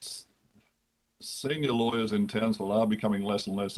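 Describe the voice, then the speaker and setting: With an Australian accent, a man speaks at a fairly quick pace in a fairly low pitch with ordinary pitch variation. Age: 60s. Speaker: lawyer and lodging house operator. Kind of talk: committee hearing testimony.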